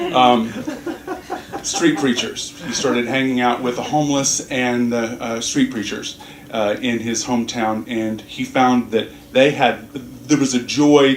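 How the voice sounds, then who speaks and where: A man speaks at a medium pitch and a fairly slow pace in an American accent. Noticeable background noise and audible room echo are present. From US South. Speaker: minister. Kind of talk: sermon. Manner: halting, many fillers and restarts.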